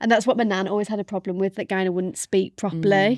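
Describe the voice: Dry and close with no echo, a woman talks at a very fast pace at a medium pitch over a quiet background. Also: fairly even intonation. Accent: Birmingham.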